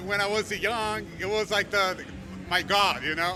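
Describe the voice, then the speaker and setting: Raised and projected over music in the background, a man's high-pitched voice with a Brazilian accent moves at a fairly slow pace with fairly even intonation. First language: Portuguese. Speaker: metal band musician. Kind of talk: casual interview.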